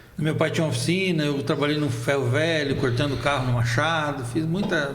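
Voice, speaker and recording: At a fairly quick pace, the voice holds a very even loudness through audible room echo and noticeable background noise. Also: man, fairly high pitch for a man, ordinary pitch variation. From Brazil, Foz do Iguaçu (born in Argentina, moved at 7). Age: 50s. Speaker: photojournalist. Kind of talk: casual interview.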